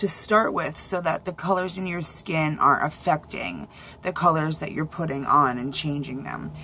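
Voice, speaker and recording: This woman has a fairly low pitch and ordinary pitch variation. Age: 30s. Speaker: beauty vlogger. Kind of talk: makeup tutorial. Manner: casual, chatty.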